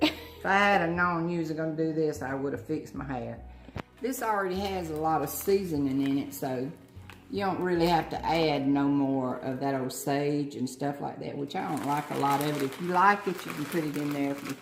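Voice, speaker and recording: A woman's very deep, low voice with an American accent, moderate pace and ordinary pitch variation, over music in the background. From Southern US. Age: old. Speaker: grandmother. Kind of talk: cooking instruction.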